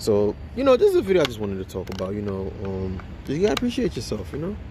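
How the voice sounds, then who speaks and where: Over noticeable background noise, a man with fairly low pitch speaks very fast, his pitch swinging very widely. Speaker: motivational YouTuber. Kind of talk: motivational vlog monologue. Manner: halting, repetitive; casual, energetic.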